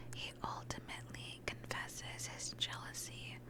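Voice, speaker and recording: Fairly slow whispering, with noticeable noise behind it. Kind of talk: ASMR gaming commentary. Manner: whispered, soft-spoken.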